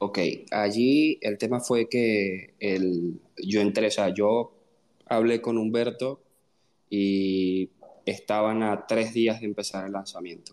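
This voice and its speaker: Fairly low in pitch, a man talks at a very slow pace with fairly even intonation. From Venezuela. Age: 20s. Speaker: software engineer. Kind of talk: casual chat.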